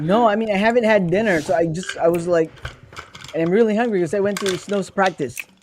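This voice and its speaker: Noticeable background noise surrounds a man speaking at a very fast pace in a high pitch with ordinary pitch variation. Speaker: show co-host. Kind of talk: casual chat.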